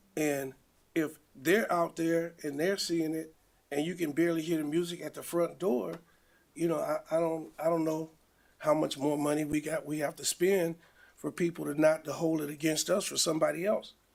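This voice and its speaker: A man talks at a moderate pace in a fairly high voice, with fairly even intonation. He has a plain, everyday voice. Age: 60s. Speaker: business owner respondent. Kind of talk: hearing testimony.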